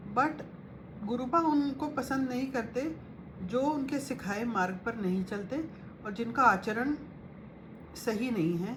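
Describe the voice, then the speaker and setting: High-pitched female speech with lively intonation, long, frequent pauses and audible room echo. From Punjabi family, North India. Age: 50s. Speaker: spiritual devotee sharing guru messages. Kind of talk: devotional talk with diary reading.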